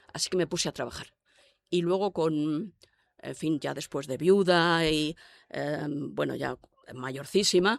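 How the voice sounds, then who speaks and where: A woman speaks with a very deep, low pitch. Her pace is moderate and her pitch varies in an ordinary way. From Spain, El Escorial near Madrid. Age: 80s+. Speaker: retired court civil servant and activist. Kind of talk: interview testimony. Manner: hesitant, with fillers and repetitions.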